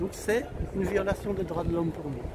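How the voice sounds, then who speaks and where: There is audible room echo and crowd noise behind this man. His voice is high for a man, with ordinary pitch variation. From Belgium, Brussels. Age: 60s. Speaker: activist, community organisation spokesman. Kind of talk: interview. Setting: outdoors on a public square. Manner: hesitant, many filler sounds.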